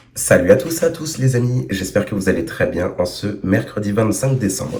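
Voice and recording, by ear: Putting on a hoarse character voice, a man speaks at a moderate pace and a medium pitch, with very wide pitch swings.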